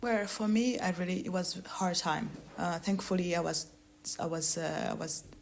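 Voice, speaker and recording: A woman's fairly low voice at a moderate pace, with ordinary pitch variation and noticeable background noise. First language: Kirundi. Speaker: author. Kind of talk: interview. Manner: halting, many hesitations and repetitions.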